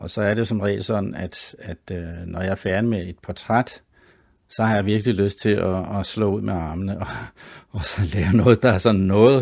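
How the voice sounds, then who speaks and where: Intonation stays fairly even at a moderate pace. The background is quiet. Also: man. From Copenhagen, Denmark (Sydhavnen). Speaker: artist and graphic designer. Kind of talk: interview. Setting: home studio. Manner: halting, many fillers and repeats.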